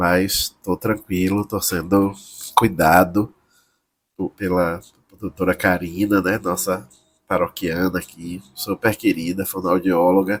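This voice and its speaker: Very slowly and in a flat monotone, a man speaks with a very deep, low pitch, the sound dry and close with no echo. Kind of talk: homily. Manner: halting.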